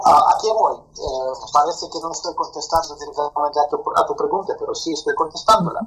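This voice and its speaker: There is noticeable background noise as a man talks. He keeps a fairly quick pace with hardly any pauses. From Soviet Union. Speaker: firearms instructor. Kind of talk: interview. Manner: halting.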